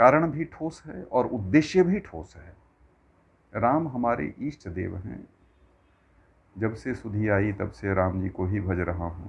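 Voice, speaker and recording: Somewhat breathy, with a Bihar accent, the voice has lively intonation and big swings in loudness. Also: man, fairly low pitch for a man. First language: Maithili (speaking Hindi). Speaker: religious discourse speaker. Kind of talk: religious discourse. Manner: formal.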